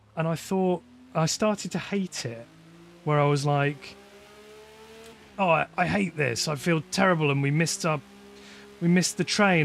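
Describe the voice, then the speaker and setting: At a moderate pace, a man speaks with a fairly high pitch of ordinary variation and long, frequent pauses. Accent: West Midlands. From West Midlands, England. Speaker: sim racing streamer. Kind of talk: casual live stream chat. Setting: live stream while gaming.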